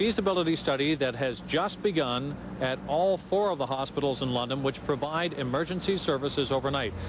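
At a fairly quick pace, a man talks with hardly any pauses and very even loudness. The sound is dry with no echo, and there is noticeable background noise. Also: ordinary pitch variation. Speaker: TV news reporter. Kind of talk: live news report. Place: street. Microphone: handheld.

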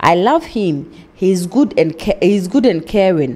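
A woman with a plain, everyday voice, fairly low pitch, ordinary pitch variation and a fairly slow pace. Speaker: TV show host. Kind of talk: reading a viewer letter aloud. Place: studio. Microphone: studio mic.

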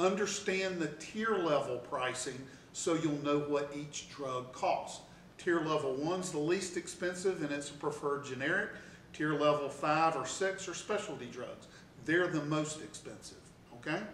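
There is audible room echo and light background noise. A man speaks at a moderate pace with ordinary pitch variation. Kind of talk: tutorial. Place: office.

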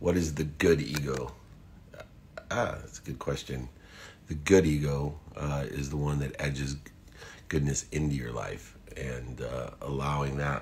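Long, frequent pauses break up the fairly slow delivery, which has fairly even intonation over light background noise. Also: man, very deep, low pitch for a man. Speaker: motivational speaker. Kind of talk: live stream talk answering viewer questions. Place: home room. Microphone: phone near.

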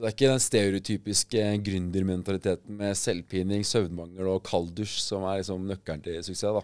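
Over a quiet background, a man with a very deep, low pitch talks at a fairly quick pace with hardly any pauses, fairly even intonation and big swings in loudness. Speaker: podcast co-host. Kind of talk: casual chat. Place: studio. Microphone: studio mic.

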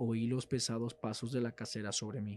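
With music in the background, a man of medium pitch delivers a dramatic tone at a moderate pace, yet his intonation stays monotone and flat. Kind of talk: horror story narration, reading aloud. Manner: formal, dramatic, gloomy storytelling.

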